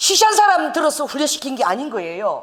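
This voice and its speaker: This woman's voice sits high in pitch and swings very widely up and down. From South Korea, Busan. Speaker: pastor. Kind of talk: sermon. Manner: animated.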